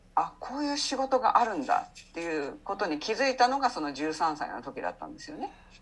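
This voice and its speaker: Her pitch is high and swings very widely as a woman talks at a fairly quick pace. Her loudness rises and falls in big swings, with music in the background. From Japan, Saitama. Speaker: English coach, former subtitle translator. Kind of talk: interview conversation.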